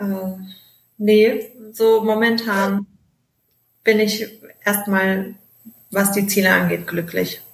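Somewhat breathy and medium in pitch, a woman speaks at a very slow pace with monotone, flat intonation and long, frequent pauses. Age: 20s. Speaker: travel blogger. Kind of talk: interview.

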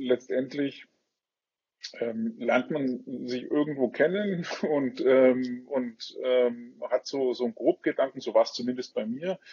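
At a very slow pace, a man speaks in a medium-pitched voice with ordinary pitch variation. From Franconia, Bavaria. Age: 30s. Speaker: business executive, association chairman. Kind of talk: interview. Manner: halting, many fillers.

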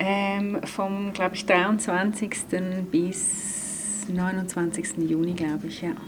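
There is audible room echo and noticeable background noise. A woman at medium pitch speaks at a very slow pace with fairly even intonation. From Switzerland, Graubünden. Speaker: dance therapist. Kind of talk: interview. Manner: hesitant fillers.

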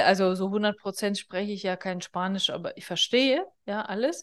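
Over a quiet background, a woman talks at a fairly slow pace in an ordinary speaking voice, medium in pitch with ordinary pitch variation. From northern Kazakhstan. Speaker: business therapist and podcast host. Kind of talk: solo podcast monologue. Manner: casual, conversational with fillers.

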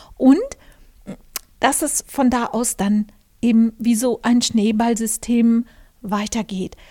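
At a very slow pace with long, frequent pauses, a woman speaks in a fairly high, dark, mellow voice, in dry, close sound with no echo. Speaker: podcast host and journalist. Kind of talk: casual monologue. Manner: hesitant with many fillers.

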